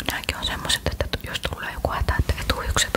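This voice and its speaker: Whispering from a woman at a moderate pace over noticeable background noise. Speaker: ASMR creator. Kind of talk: ASMR show-and-tell of bag contents. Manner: whispered.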